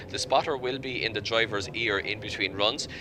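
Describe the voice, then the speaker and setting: A man's medium-pitched voice at a fairly quick pace, ordinary pitch variation, and noticeable background noise. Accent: Irish. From Ireland. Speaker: motorsport commentator. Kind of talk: live commentary.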